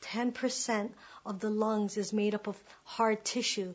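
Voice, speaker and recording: A somewhat breathy woman talks at a fairly slow pace and a fairly high pitch, with monotone, flat intonation. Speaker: performance poet. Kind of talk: spoken word performance.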